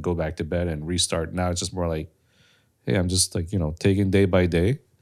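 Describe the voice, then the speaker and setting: Very deep, low pitch from a man, captured in a very clean recording against a silent background. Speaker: content creator and podcast co-host. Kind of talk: casual chat. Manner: audible breathing. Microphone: too close to mouth.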